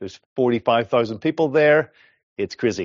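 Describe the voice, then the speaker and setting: At a medium pitch, a man speaks with an Irish accent. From Ireland. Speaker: developer advocate. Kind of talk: technical conference talk.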